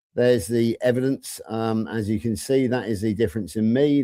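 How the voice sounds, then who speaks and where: In a West Country accent, a man speaks at medium pitch with ordinary pitch variation. His tone is dark and mellow. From England, Somerset (southwest). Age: 60s. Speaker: panel guest sharing diet story. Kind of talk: live stream panel chat.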